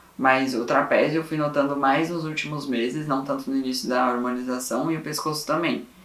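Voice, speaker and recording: A man with a fairly high pitch talks at a fairly quick pace with fairly even intonation, with audible room echo and noticeable background noise. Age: 20s. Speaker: vlogger. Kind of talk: personal vlog. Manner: casual.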